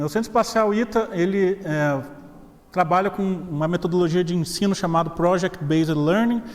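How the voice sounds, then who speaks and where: With a slight Minas Gerais accent, a man speaks at a high pitch with ordinary pitch variation. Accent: slight Minas Gerais (mineiro). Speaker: professor. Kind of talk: lecture. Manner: casual, joking.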